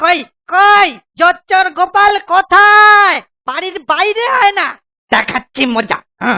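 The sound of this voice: A cartoonish character voice, bright and sharp with vocal fry, fairly slow, with ordinary pitch variation.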